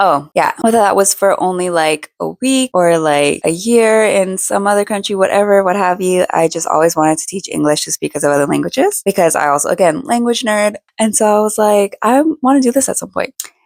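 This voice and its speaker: A woman talks fairly quickly with lively intonation and hardly any pauses. The sound is dry and close, with no echo. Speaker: lifestyle and faith vlogger. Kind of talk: casual personal talk to camera. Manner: casual, many fillers.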